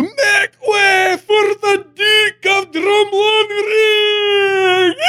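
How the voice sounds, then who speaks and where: In a put-on character voice, the speaker shouts at an extremely high pitch and a very slow pace. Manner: diabolical, booming.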